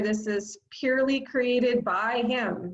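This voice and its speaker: Somewhat breathy, this woman's voice shows ordinary pitch variation. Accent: American. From Southern California (Los Angeles area). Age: 50s. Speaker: high school math teacher. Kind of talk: casual self-introduction to students. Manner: casual, with frequent fillers.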